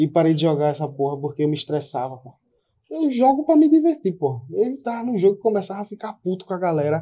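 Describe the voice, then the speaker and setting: A man speaks at a very fast pace in a high voice. His pitch swings very widely and his loudness rises and falls a lot. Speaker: podcast co-host, streamer. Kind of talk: casual chat.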